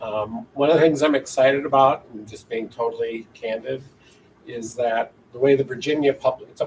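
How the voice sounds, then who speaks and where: With a Wisconsin accent, a man talks at a moderate pace in a medium pitch. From Minnesota. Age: 60s. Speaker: university chancellor. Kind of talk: interview. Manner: rambling, conversational.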